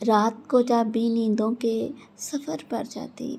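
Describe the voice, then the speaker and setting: Hers is an unremarkable speaking voice, a woman's, set at fairly high pitch. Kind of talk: poetry reading. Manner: emotional, romantic.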